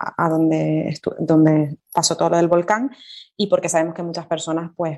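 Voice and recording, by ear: Her pitch is low and shows little movement as this woman talks. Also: moderate pace, slightly mellow tone.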